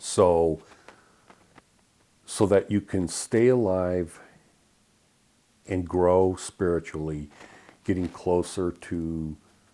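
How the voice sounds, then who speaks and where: With an American accent, a man talks at a very slow pace in a very deep, low pitch, his dark, mellow tone held to fairly even intonation. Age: 60s. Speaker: spiritual video blogger. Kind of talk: casual monologue. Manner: halting, many fillers.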